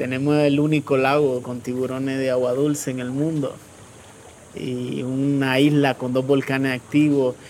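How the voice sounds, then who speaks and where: A man's monotone, flat delivery at a fairly slow pace, with noticeable background noise. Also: medium pitch for a man. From Nicaragua. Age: 30s. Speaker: refugee. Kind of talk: testimony.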